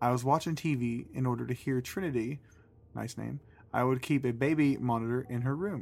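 The speaker reads in an unforced voice.

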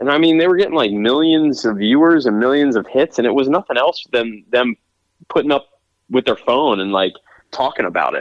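An American-accented man with an unremarkable speaking voice talks at medium pitch and a fairly quick pace, with lively intonation. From Pennsylvania. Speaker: real estate agent and actor. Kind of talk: casual interview chat.

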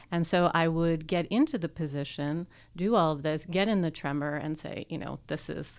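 On a very clean recording with a silent background, a woman with a plain, everyday voice speaks at a moderate pace and a fairly low pitch. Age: 40s. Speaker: sexological bodyworker and sex educator. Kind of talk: casual interview. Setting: studio.

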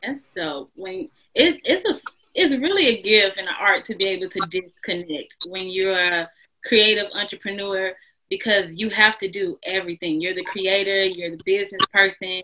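With an American accent and a normal speaking voice, a woman speaks at a moderate pace with ordinary pitch variation and big swings in loudness. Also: medium pitch for a woman. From Texas, Houston. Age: 20s. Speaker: fashion stylist and podcast host. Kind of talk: casual interview chat.

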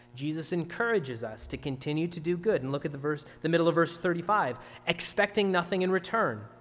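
A man speaks in a plain, everyday voice with a Canadian accent, his pitch fairly high. The pace is fairly quick, with ordinary pitch variation. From Ontario, Canada. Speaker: pastor. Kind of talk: sermon.

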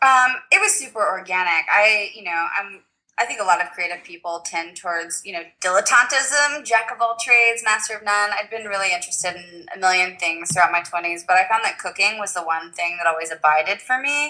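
Speaking at a medium pitch, a woman goes at a fairly quick pace with hardly any pauses. Her bright, sharp tone has big swings in loudness. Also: ordinary pitch variation. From US South, Tennessee. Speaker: photographer, food stylist and blogger. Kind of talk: casual interview chat.

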